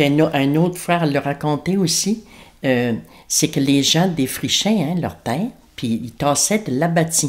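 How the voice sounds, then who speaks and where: A woman's very deep, low voice with ordinary pitch variation, at a fairly slow pace, in a very clean recording with a silent background. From Acadian New Brunswick, Kedgewick / Grand-Sault area. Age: 60s. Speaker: elder interviewee. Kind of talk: oral history interview. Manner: hesitant, many fillers.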